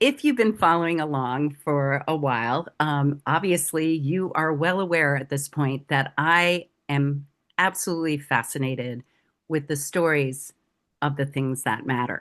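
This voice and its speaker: A woman speaks at a fairly slow pace with a very deep, low pitch. The background is quiet. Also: ordinary pitch variation. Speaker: podcast host. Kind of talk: show intro to viewers.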